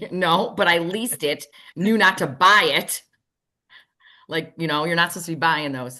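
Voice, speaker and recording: Against a quiet background, a woman with a fairly low pitch speaks in a bright, sharp tone, leaving long, frequent pauses. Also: ordinary pitch variation, moderate pace. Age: 60s. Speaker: auto industry sales expert. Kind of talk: podcast interview.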